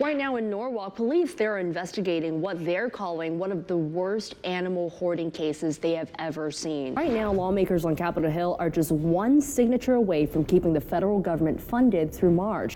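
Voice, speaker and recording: Over noticeable background noise, a woman with an American accent and a fairly low pitch talks at a fairly quick pace with lively intonation and hardly any pauses. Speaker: news anchor and reporter. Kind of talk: TV news anchor/reporter delivery. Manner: polished, clear anchor delivery.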